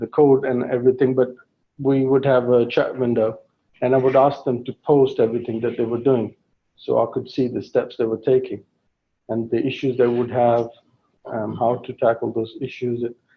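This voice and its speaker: A man with a slight English accent, monotone and flat, at a moderate pace. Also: medium pitch for a man. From England. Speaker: guest speaker, tech project manager. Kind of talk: Q&A talk at a meeting.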